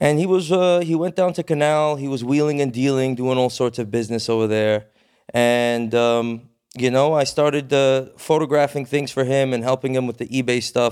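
A normal speaking voice from a man, medium in pitch, at a moderate pace with ordinary pitch variation, in a very clean recording with a silent background. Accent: American. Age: 30s. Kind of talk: casual chat.

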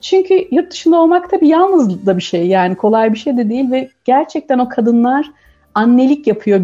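This woman's voice has a dark, mellow tone and is somewhat breathy, with very wide pitch swings. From Turkey. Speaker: communications professional, expectant mother. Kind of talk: radio interview.

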